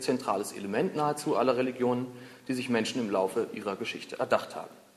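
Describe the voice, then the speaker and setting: A man's very fast speech competes with noticeable background noise. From Berlin, Germany. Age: 20s. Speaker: humanist foundation spokesman and podcast host. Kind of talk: prepared lecture.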